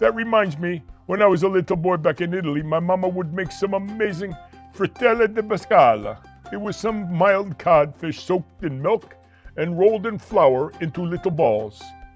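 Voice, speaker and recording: Faint music plays behind a man doing a cartoonish character voice with a high pitch at a moderate pace. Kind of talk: children's puppet show.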